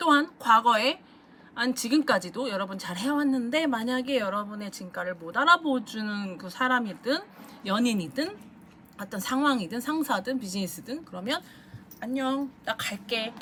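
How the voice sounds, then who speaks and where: A plain, everyday voice with lively intonation, big swings in loudness and a moderate pace. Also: woman, fairly high pitch for a woman. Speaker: tarot reader. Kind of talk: tarot reading monologue.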